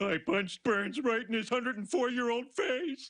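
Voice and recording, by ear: In a cartoonish character voice, a man talks at a moderate pace with an extremely high pitch.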